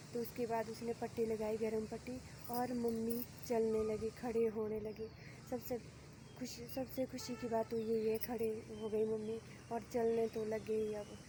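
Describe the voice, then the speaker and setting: A soft-spoken woman talks at a fairly high pitch with monotone, flat intonation. There is noticeable background noise. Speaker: vlogger. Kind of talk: casual vlog talk.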